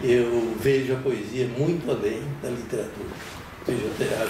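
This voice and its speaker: A man with a medium pitch talks at a fairly slow pace. Noticeable background noise and audible room echo fill the recording. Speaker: poet. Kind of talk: interview.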